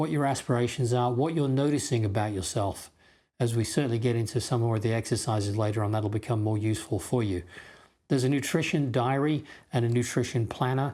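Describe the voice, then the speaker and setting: A man with a dark, mellow tone talks at a fairly quick pace on a very clean recording with a silent background. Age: 50s. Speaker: health course instructor. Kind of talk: course introduction talk. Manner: conversational, with fillers.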